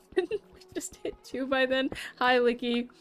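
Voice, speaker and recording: Music sits in the background. The talking keeps a moderate pace. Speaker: streamer. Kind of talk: casual live stream chat. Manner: animated.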